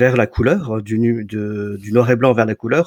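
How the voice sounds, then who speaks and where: An ordinary speaking voice moves at a moderate pace on a very clean recording with a silent background. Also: man. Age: 40s. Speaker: photographer and entrepreneur. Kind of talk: interview.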